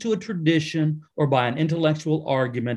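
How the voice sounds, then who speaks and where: An ordinary speaking voice from a man, fairly high in pitch and fairly slow, with ordinary pitch variation against a quiet background. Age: 60s. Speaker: pastor and author. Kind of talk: interview.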